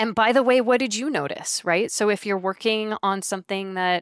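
A woman speaks in a plain, everyday voice at medium pitch with ordinary pitch variation. The sound is dry and close, with no echo. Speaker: author and somatic leadership coach. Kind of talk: casual interview conversation. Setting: video call. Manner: light, warm, laughs often.

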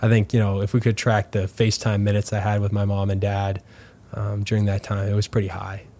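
With a Canadian prairie accent, a man speaks very fast in a monotone, flat delivery. His fairly low voice is somewhat breathy, with a dark, mellow tone. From Canada, Manitoba (LaSalle near Winnipeg). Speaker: professional soccer player. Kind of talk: interview.

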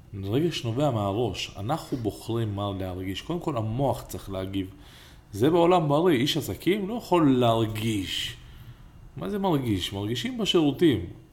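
In a room with audible echo, a man with a medium pitch speaks at a moderate pace in an animated tone with very wide pitch swings. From Israel, Ramla. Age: 30s. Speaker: entrepreneur and podcast co-host. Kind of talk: casual chat.

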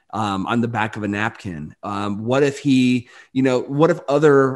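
In a plain, everyday voice with an American accent, the speaker goes at a moderate pace with ordinary pitch variation against a quiet background. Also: man. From rural Michigan (Barry County). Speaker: eye surgeon and entrepreneur. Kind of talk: interview.

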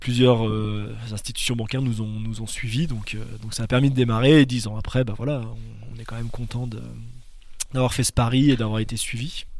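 Audible room echo around a man's medium-pitched voice with fairly even intonation. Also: moderate pace. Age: 30s. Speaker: dairy farmer. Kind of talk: casual interview. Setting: on the farm. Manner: hesitant, many fillers.

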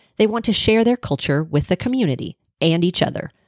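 Someone with an American accent talks at a fairly quick pace with very wide pitch swings, the sound dry and close with no echo. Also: woman. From Pittsburg, Kansas, US. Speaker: university communications staffer, podcast host. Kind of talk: scripted narration.

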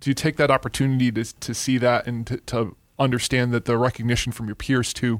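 On a very clean recording with a silent background, a man with an ordinary speaking voice talks fairly quickly at a medium pitch. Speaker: podcast host. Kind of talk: interview conversation. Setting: bank branch.

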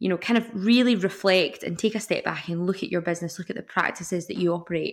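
Over a silent background in a very clean recording, a woman with a Scottish accent talks at a very fast pace, with medium pitch and ordinary pitch variation. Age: 20s. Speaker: environmental scientist and zero waste influencer. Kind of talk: interview.

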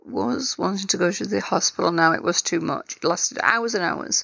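At a moderate pace, a woman talks with an English accent. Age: 50s. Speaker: cancer survivor telling own story. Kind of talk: personal testimony.

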